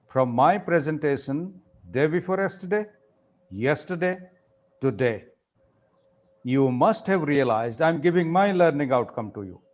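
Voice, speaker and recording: A man with an Indian accent speaks at a moderate pace, his pitch fairly high. His intonation is lively, broken by long, frequent pauses. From India, regional non-Hindi area. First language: Indian regional language (not Hindi or English). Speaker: professor, workshop trainer. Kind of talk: lecture. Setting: online workshop. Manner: animated.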